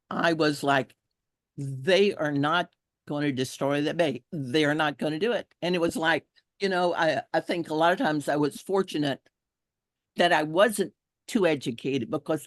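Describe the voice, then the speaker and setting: In a dry, close sound with no echo and a quiet background, a woman speaks at a fairly slow pace with a very deep, low pitch and ordinary pitch variation. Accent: Texan. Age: 70s. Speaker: environmental activist. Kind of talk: testimony.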